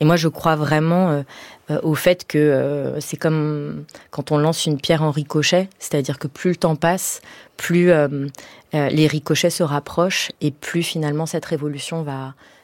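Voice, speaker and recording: In a very clean recording with a silent background and a dry, close sound with no echo, a woman speaks at a fairly slow pace in a very deep, low pitch with monotone, flat intonation. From Paris suburbs, Iranian family. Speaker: playwright and stage director. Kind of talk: radio interview. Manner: hesitant, many fillers.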